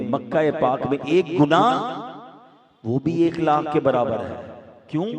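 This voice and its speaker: Lively intonation in a man's fairly high-pitched voice, noticeable background noise behind it. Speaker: Islamic preacher. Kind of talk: Islamic sermon (bayan) to a live audience.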